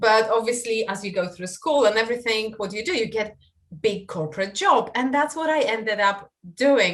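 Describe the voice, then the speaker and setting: The speaker talks at a moderate pace with a Polish accent. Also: woman. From Poland. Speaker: online marketing coach. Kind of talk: podcast interview. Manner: hesitant with fillers.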